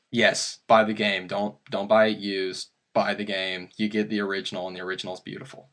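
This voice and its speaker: Here a man with an American accent talks at a fairly quick pace. His pitch is fairly low and his intonation monotone and flat. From US, Kentucky. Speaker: podcast host, horror story narrator. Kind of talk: casual interview chat. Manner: halting, many fillers.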